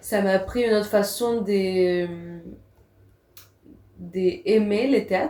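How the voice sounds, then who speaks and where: A woman with a non-native accent speaks at a very slow pace, leaving long, frequent pauses. Her dark, mellow tone sits at a medium pitch with ordinary pitch variation. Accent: foreign accent in French. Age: 20s. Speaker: actress and theatre teacher. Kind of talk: podcast interview. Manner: halting.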